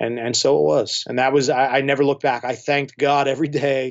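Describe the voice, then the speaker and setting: A man with a normal speaking voice and an American accent talks at a fairly quick pace, his fairly high pitch held in a fairly even intonation. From New York. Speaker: electronic musician and label owner. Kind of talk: casual interview chat.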